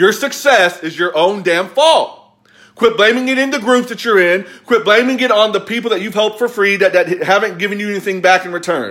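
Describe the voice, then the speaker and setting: With an American accent, the speaker talks at a fairly quick pace in a bright, sharp tone. Pitch variation is ordinary, and the background is quiet. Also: man, high pitch for a man. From US South, Kentucky. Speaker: motivational business coach. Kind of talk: angry motivational rant, scolding viewers with blunt tough love and sarcasm. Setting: live video on social media. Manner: forceful, emphatic, repeating 'quit blaming' in hammering staccato; sarcastic, mocking whiny voices. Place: home room. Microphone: phone near.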